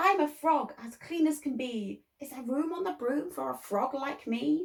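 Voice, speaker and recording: A woman's put-on character voice, high-pitched and croaky, at a moderate pace. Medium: read story.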